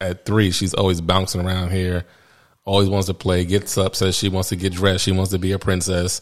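A man's very deep, low voice at a fairly quick pace, monotone and flat in intonation, on a very clean recording with a silent background. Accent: American. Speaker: podcast host. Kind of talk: podcast intro and monologue. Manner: casual, conversational.

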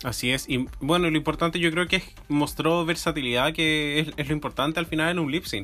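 Speaking with a Chilean accent, a man uses a fairly high pitch and a bright, sharp tone, moving at a fairly quick pace with fairly even intonation. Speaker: podcast co-host. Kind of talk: casual chat.

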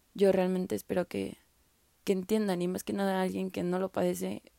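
A woman speaks at a moderate pace. The recording is very clean and dry, close with no echo and a silent background. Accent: Mexican. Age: 20s. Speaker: podcaster. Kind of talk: personal testimony. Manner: casual.

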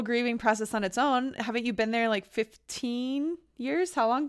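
Here a woman talks with a high pitch. Her pitch variation is ordinary. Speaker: podcast host. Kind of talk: interview, casual chat.

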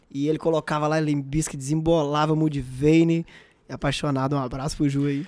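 In a very clean recording with a silent background, a man speaks at a fairly high pitch. His intonation is monotone and flat. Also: moderate pace. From Brazil, interior of Minas Gerais. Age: 20s. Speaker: podcast co-host. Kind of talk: casual chat.

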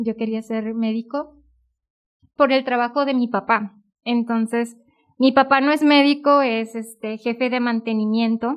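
A woman with a Mexican accent speaks in a fairly high pitch. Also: fairly even intonation, fairly slow pace. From Mexico, northern Veracruz. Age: 20s. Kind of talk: casual chat, vocation testimony.

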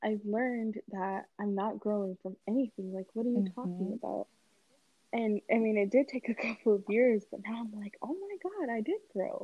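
Somewhat breathy, with a dark, mellow tone, a woman speaks at a fairly high pitch and a moderate pace, using ordinary pitch variation in a dry, close sound with no echo. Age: 20s. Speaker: podcast guest. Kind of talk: casual chat.

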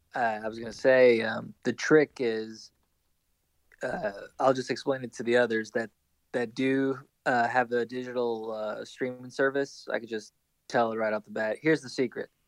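Speaking at a moderate pace in an ordinary speaking voice, a man at medium pitch shows big swings in loudness, with a dry, close sound with no echo. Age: 20s. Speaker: podcast co-host and school educator. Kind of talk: casual chat.

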